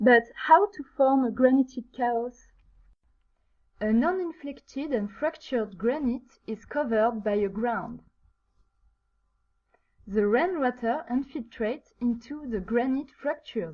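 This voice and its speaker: A woman with a French accent speaks in a high voice at a fairly slow pace. Her intonation is lively, and she leaves long, frequent pauses. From France. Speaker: geology student. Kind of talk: student project presentation. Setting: low-quality microphone.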